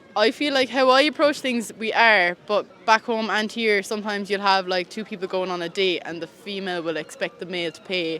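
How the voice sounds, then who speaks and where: Fairly quick, medium-pitched woman with hardly any pauses, big swings in loudness and ordinary pitch variation, over noticeable background noise. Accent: Irish. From Ireland. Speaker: street interviewee. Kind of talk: casual interview.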